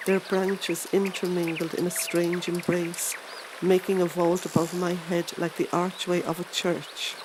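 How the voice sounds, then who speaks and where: A woman speaks in a fairly low, monotone voice with flat intonation. Noticeable background noise sits behind her. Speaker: voiceover artist. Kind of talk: audiobook reading.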